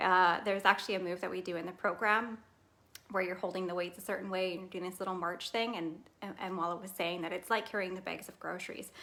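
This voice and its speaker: Very fast and monotone, a woman talks with flat intonation at a medium pitch. Her loudness swings widely. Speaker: fitness program test group member. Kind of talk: casual livestream testimony.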